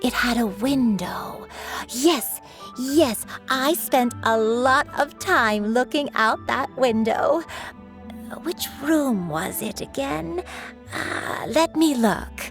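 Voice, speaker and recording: A woman's put-on character voice, fairly high in pitch and very slow, with clear music in the background. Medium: game stream. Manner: soft, hesitant.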